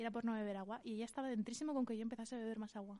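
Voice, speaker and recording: The tone is dark and mellow, with monotone, flat intonation. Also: woman. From Valencian Community, Spain. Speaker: podcast co-host. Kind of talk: casual chat.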